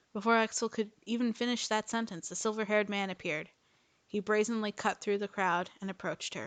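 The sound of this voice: Fairly even in intonation, this is an unforced reading voice.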